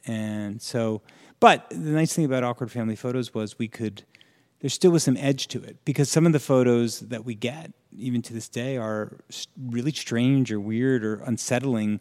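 A man with an American accent speaks at medium pitch and a moderate pace, in a plain, everyday voice with ordinary pitch variation and big swings in loudness. The recording is very clean, with a silent background. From New Jersey, Morristown. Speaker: screenwriter and creator of a humor photo site. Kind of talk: casual interview chat.

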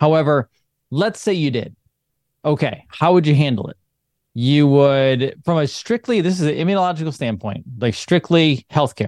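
A man with a plain, everyday voice talks at a moderate pace in a fairly high pitch with lively intonation, the sound dry and close with no echo. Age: 40s. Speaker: chiropractor and online show founder. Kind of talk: casual interview chat.

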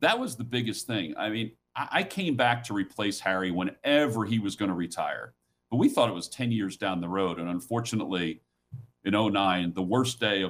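With an unremarkable speaking voice, a man talks at a moderate pace in a fairly low pitch, showing ordinary pitch variation. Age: 50s. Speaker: sports play-by-play broadcaster. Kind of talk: interview.

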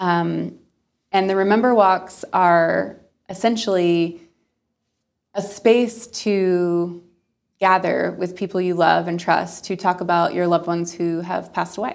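A woman with an unremarkable speaking voice speaks at a fairly low pitch. Her pace is fairly slow and her intonation fairly even. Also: very clean recording, silent background. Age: 20s. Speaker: nonprofit founder. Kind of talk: interview.

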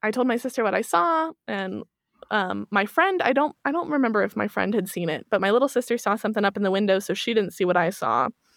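A woman in a US Midwestern accent, medium pitch with vocal fry, lively intonation and a fairly quick pace, in a dry, close sound with no echo. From Kansas City, Missouri, US Midwest. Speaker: true crime and paranormal podcaster. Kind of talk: casual interview chat.

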